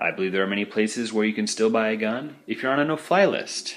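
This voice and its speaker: A man with an American accent speaks at a fairly low pitch in a bright, sharp tone, with ordinary pitch variation. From Idaho, Boise. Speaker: podcast listener. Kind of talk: voicemail message. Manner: hesitant, with fillers.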